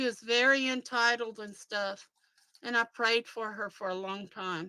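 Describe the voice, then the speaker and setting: Fairly high-pitched and bright, sharp in tone, a woman speaks at a fairly slow pace. Her loudness swings widely, and the sound is dry and close with no echo. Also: fairly even intonation. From Louisiana. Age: old. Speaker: livestream host. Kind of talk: casual chat. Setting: live stream.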